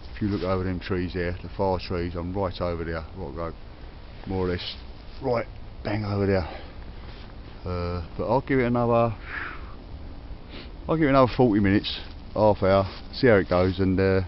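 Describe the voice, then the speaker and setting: With a Cockney accent, a man speaks at a very deep, low pitch with ordinary pitch variation. He leaves long, frequent pauses. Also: moderate pace. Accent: Cockney London English. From London (Cockney). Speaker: metal detecting vlogger. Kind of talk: casual outdoor vlog commentary. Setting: outdoors in a forest. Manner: hesitant, many fillers.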